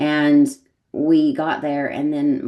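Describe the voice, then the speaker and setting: This woman has an American accent and a very deep, low pitch. Her tone is dark and mellow, with fairly even intonation at a fairly slow pace. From United States. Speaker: women's mentor and yoga teacher, podcast guest. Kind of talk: personal storytelling in podcast interview. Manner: conversational, with many fillers and repetitions.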